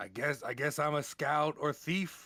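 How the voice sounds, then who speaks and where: Putting on a character voice, a man sounds raspy at a fairly high pitch. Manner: dismayed, grumbling.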